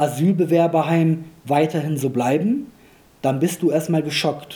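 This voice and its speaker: A dark, mellow tone at a fairly slow pace. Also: man. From Germany, Rhineland (came from Kosovo aged 2.5). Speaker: parliamentary candidate and local politician. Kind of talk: political interview.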